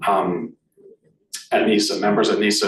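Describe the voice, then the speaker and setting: A man speaks in a Boston accent. Audible room echo surrounds his voice. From Boston area, US. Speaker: arts association president. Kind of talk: meeting presentation. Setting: meeting room with in-person and online audience. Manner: halting, many fillers.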